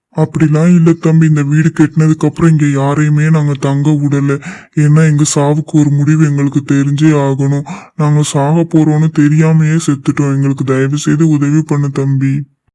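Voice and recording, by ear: A man does a cartoonish character voice at a fairly high pitch. He talks at a fairly slow pace with monotone, flat intonation.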